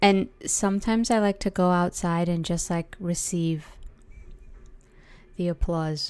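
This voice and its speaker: A woman with a fairly low pitch speaks at a fairly slow pace, with fairly even intonation. She leaves long, frequent pauses. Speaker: counsellor. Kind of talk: podcast monologue. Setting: indoors by window, street noise. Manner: casual, conversational.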